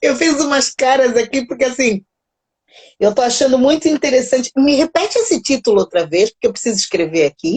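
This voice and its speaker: With a Brazilian accent, the speaker sounds animated, moving at a fairly quick pace through very wide pitch swings. Loudness stays very even, and the sound is dry and close with no echo. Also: woman, high pitch for a woman. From Mozambique. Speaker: live stream host, psychology channel. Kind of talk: casual live chat. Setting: live stream.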